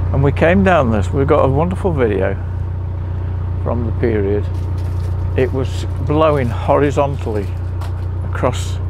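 Over noticeable background noise, a man talks in a very deep, low pitch, the sound dry with no echo. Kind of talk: casual vlog chat. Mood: amused storytelling. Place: boat.

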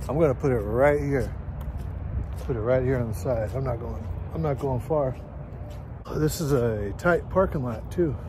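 A man talks at a moderate pace with lively intonation, in a dry sound with no echo but with noticeable background noise. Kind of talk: casual vlog chat. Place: street. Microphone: phone near.

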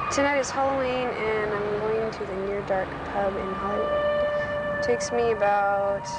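A woman talks at a moderate pace with hardly any pauses, against loud background noise. The sound is dry with no echo. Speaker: interviewee. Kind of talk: interview answer. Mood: relaxed, smiling.

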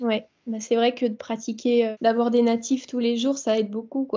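A woman's fairly high voice, flat and monotone, over a quiet background. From France. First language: French (speaking Spanish). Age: 20s. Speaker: dancer and Spanish learner; interviewee. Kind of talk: casual interview chat. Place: home room. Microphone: video call.

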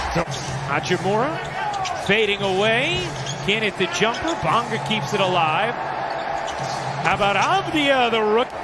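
Very slowly and at very even loudness, a man with a high pitch speaks with very wide pitch swings over noticeable background noise. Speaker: basketball play-by-play announcer. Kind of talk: live play-by-play game commentary. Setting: broadcast over game footage.

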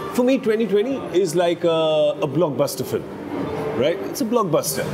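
Noticeable background noise sits behind this voice. A man speaks at a moderate pace. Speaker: chat show host. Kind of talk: casual interview talk. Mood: friendly, playful persuading. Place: bar.

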